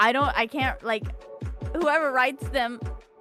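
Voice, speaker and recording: Over music in the background, a woman with a high-pitched voice speaks at a moderate pace with ordinary pitch variation. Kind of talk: interview answer.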